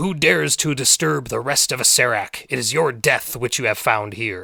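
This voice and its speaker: Using a raspy, booming, put-on character voice, a man speaks at a moderate pace and a medium pitch. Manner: booming, menacing.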